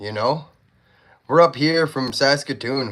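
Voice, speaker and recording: The recording is very clean, with a silent background. In it, a man talks with an American accent. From Canada. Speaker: knife sharpener livestreamer. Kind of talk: casual chat. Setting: livestream.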